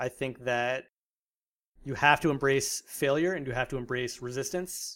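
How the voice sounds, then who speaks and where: A plain, everyday voice with an American accent talks at a fairly quick pace. The recording is very clean, with a silent background. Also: man. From US, South Jersey. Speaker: music platform founder. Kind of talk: interview.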